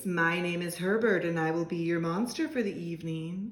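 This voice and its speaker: Putting on a character voice, a woman talks breathily at a moderate pace and a fairly low pitch. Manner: formal, polite.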